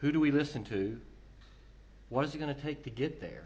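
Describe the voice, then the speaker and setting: A man's fairly high voice with vocal fry and audible room echo. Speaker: telecom consultant, conference speaker. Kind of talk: conference presentation.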